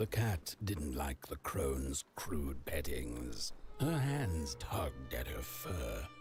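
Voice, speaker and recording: A man speaks at a very slow pace, his pitch swinging very widely. Clear music plays in the background. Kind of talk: dark fairy-tale narration. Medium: machinima.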